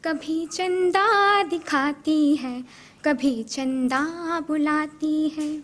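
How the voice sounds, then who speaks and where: A woman is speaking in a high pitch. Her pitch variation is ordinary. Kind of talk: poetry reading.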